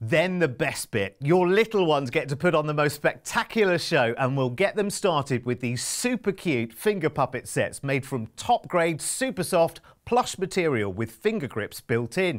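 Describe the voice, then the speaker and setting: With hardly any pauses, a man talks at a moderate pace, his pitch swinging very widely against a quiet background. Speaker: presenter. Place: studio.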